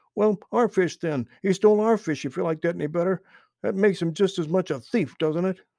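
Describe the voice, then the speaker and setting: A man growls in a put-on character voice with a high pitch at a fairly quick pace. The background is quiet. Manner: growling, angry.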